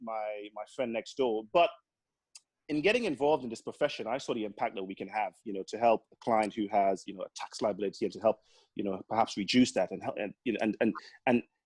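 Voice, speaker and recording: Very fast speech comes from a man with a Caribbean accent and a medium pitch. The sound is dry and close with no echo, and his pitch variation is ordinary. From Grenada (born in Trinidad). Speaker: accountant and business owner. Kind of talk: podcast interview. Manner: lively, full of life.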